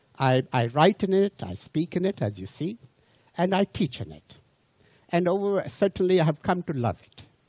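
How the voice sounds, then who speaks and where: A man speaks at a moderate pace with a high pitch and lively intonation, his voice dry and close with no echo. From India. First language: not English, Indian language. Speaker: lecturer. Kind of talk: lecture. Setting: cruise ship audience. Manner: halting, with repetitions.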